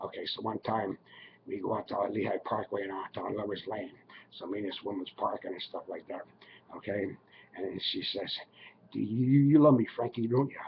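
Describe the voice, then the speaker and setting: Using a put-on character voice, a man speaks raspily at medium pitch and a fairly quick pace, with long, frequent pauses. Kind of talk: casual rambling anecdote. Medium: solo performance. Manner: rambling, chuckling, folksy.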